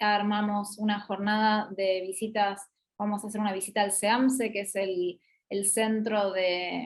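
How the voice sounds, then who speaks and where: In an Argentine accent, a woman speaks at a moderate pace. Her pitch is fairly high. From Argentina. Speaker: business school regional representative and master's coordinator. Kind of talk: online promotional talk / Q&A. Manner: hesitant, many fillers.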